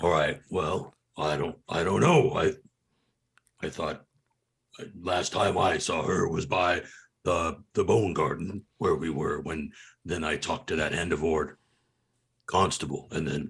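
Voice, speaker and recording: In a raspy, put-on character voice, a man speaks at a very deep, low pitch and a fairly slow pace with ordinary pitch variation and long, frequent pauses. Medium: actual play. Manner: stammering, rambling.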